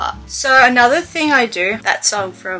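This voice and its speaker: A woman speaks with an Australian accent. Faint music plays in the background. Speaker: lifestyle vlogger. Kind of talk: casual talk to camera. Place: home room. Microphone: webcam.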